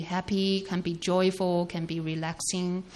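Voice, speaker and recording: At a fairly slow pace, a woman speaks at medium pitch in a dark, mellow tone. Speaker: sermon interpreter. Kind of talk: consecutive interpretation of a sermon. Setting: church. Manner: halting, with many fillers.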